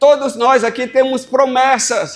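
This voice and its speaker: Extremely high in pitch, a man with a Brazilian accent talks at a fairly slow pace in a monotone, flat delivery. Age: 60s. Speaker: pastor. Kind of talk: sermon.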